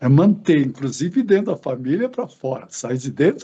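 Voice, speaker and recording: Speaking at a moderate pace, a man has a dark, mellow tone that is somewhat breathy. His intonation is lively. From Brazil, interior of São Paulo state (Assis). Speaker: retired educator and author. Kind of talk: interview.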